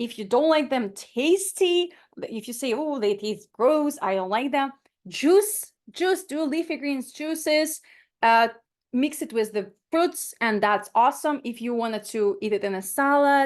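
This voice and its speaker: In a Ukrainian accent, a woman speaks at a fairly slow pace with high pitch. Her tone is animated and her intonation lively, against a quiet background. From Ukraine. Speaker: plant-based nutritionist. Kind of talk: webinar talk.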